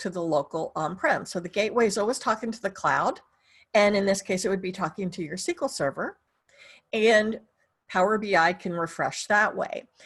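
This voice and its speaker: Here is a woman with a plain, everyday voice at a medium pitch. She talks at a fairly quick pace with lively intonation. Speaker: software trainer. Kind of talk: webinar tutorial. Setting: online webinar.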